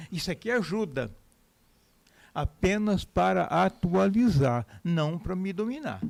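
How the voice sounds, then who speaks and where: A man speaks with very wide pitch swings. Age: 80s+. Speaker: journalist and political scientist. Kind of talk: interview. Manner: casual, conversational.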